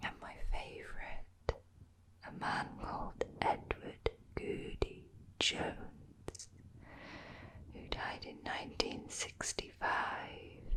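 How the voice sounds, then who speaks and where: A woman whispering in an English accent at a very slow pace, with long, frequent pauses, big swings in loudness and noticeable background noise. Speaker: ASMR creator, travel vlogger. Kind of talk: whispered travel narration to camera. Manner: whispered, soft-spoken.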